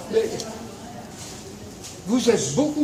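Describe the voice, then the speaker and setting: Audible room echo and noticeable background noise surround a voice moving at a moderate pace. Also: man. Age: 90s. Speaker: Holocaust survivor and former resistance fighter. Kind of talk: testimony to schoolchildren. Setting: speaking to a school group. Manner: halting.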